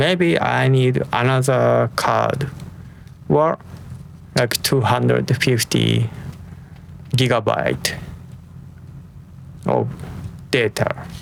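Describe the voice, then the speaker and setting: Amid noticeable background noise, a man speaks very slowly at a very even loudness, with long, frequent pauses. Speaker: tech reviewer. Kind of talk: product review. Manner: soft-spoken; halting.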